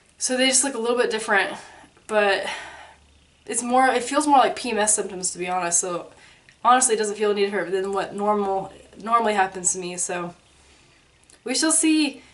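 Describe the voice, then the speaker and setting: With audible room echo, a woman speaks at a fairly quick pace in a fairly high pitch, leaving long, frequent pauses. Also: ordinary pitch variation. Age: 20s. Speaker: vlogger. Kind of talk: casual vlog update. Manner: soft-spoken; casual, filler-heavy.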